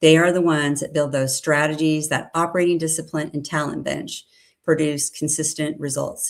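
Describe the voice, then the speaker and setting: A woman talks in a very deep, low pitch with monotone, flat intonation. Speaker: company president presenting sales research. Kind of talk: webinar presentation. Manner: fast.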